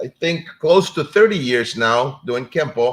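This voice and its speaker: Lively intonation in a Spanish accent. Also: man. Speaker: martial arts instructor and show host. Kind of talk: live-stream talk show intro. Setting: live stream. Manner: casual, hesitant with fillers.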